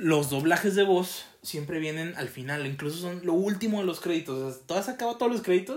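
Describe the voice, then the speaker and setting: A man in a Mexican accent, high-pitched, with ordinary pitch variation and a fairly quick pace. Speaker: podcast co-host. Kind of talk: casual chat.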